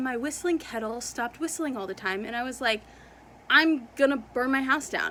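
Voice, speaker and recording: A woman with a high pitch speaks in a raised, projected voice with lively intonation. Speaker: booktuber. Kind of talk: casual vlog chat. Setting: at home. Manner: fast.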